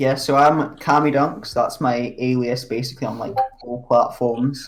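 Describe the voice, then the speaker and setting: The speaker has a Scottish accent and a moderate pace, with fairly even intonation and noticeable background noise behind the voice. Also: man, medium pitch for a man. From Scotland. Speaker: podcast co-host, amateur dunker. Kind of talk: casual chat.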